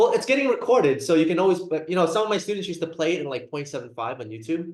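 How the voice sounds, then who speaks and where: A man speaks at a very fast pace in a high pitch with very wide pitch swings. Audible room echo surrounds him. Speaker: psychiatry lecturer, nurse practitioner. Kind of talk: lecture. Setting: video call.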